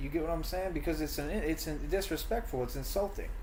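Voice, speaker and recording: Noticeable background noise and audible room echo surround the man as he talks. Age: 30s. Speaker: streamer ranting about online critics. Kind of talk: heated rant in live stream chat. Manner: animated.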